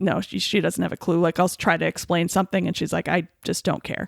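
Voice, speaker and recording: The woman's voice has vocal fry. The recording is very clean and dry, with a close sound, no echo, and a silent background. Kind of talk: casual podcast conversation. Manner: enthusiastic, animated.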